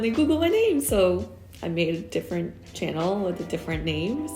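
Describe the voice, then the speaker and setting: Music plays in the background as a female speaker keeps a moderate pace. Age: 30s. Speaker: UX designer. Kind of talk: casual talk to camera.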